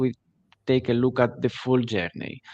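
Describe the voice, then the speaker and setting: This man speaks with a Greek accent and a dark, mellow tone at medium pitch. His pace is moderate, and the sound is dry and close with no echo. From Greece. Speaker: digital agency CEO. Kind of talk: webinar interview. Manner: halting, many fillers.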